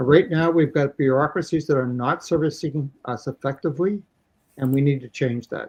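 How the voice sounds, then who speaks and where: A man with a Canadian accent speaks in a fairly high, somewhat breathy voice. The background is quiet. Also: ordinary pitch variation, moderate pace. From Canada. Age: 70s. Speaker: election candidate. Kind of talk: interview.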